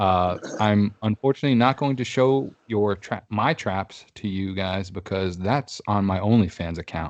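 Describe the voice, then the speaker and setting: A man at a moderate pace, ordinary pitch variation, dry, close sound with no echo and a quiet background. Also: fairly low pitch for a man. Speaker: podcast host. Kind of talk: casual chat. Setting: video call.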